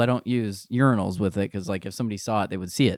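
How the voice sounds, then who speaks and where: Recorded very cleanly against a silent background, a man's voice sounds dry and close, with no echo. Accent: Northeast Ohio. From Akron, Ohio. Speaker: podcast co-host and comedian. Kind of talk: casual chat.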